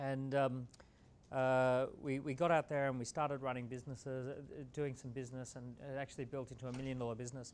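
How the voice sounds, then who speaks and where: With an Australian accent, a man talks very fast at a medium pitch in a monotone, flat intonation, with audible room echo. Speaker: entrepreneur and author. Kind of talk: motivational talk. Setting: stage with audience.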